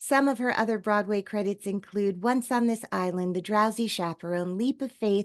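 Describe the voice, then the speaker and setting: An unremarkable speaking voice from a woman, moderately paced with ordinary pitch variation, in a quiet background. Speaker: podcast host. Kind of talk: interview question.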